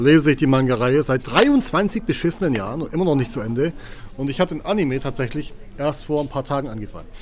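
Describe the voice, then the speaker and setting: A man with lively intonation at a very fast pace. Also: fairly high pitch for a man. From Göppingen, Swabia, Germany. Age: 30s. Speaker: social media creator. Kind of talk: casual chat. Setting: bookstore.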